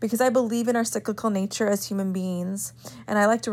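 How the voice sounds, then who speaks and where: A woman speaks at a fairly quick pace in a medium-pitched voice with fairly even intonation. The recording is very clean with a silent background. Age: 20s. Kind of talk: solo faith podcast monologue; guided meditation.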